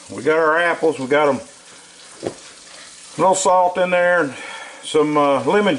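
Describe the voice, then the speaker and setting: Over noticeable background noise, a man talks in a Southern US accent with ordinary pitch variation. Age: 60s. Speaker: cooking channel host. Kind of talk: cooking tutorial. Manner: casual folksy.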